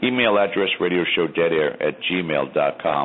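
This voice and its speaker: Noticeable background noise sits behind a man talking. He has an American accent and a moderate pace. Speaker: paranormal talk show host. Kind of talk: casual panel discussion.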